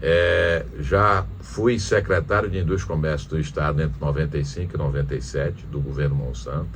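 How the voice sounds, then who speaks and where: Audible room echo surrounds a man's very deep, low-pitched voice. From Piauí, Brazil (Teresina). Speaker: former senator and businessman. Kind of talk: interview. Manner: halting, with many restarts.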